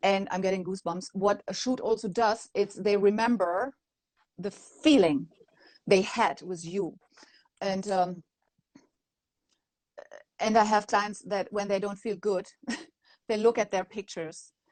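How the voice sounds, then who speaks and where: Talking at a moderate pace with long, frequent pauses, a woman with a non-native accent keeps a medium pitch and ordinary pitch variation. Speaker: maternity photographer. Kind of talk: interview answer.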